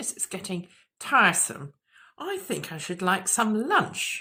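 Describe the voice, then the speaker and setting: In a put-on character voice at medium pitch, a woman speaks at a fairly slow pace. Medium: read story. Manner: polite, proper.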